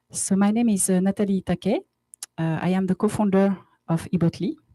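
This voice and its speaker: In a French accent, a woman with a medium pitch and ordinary pitch variation sounds somewhat breathy, her tone dark and mellow, the sound dry and close with no echo. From France, Paris. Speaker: company co-founder. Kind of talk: conference presentation. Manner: halting, many fillers.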